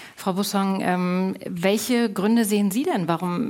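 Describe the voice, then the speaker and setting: With an unremarkable speaking voice, a woman talks at a fairly slow pace using fairly even intonation. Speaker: radio moderator. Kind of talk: moderated panel discussion. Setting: stage with audience.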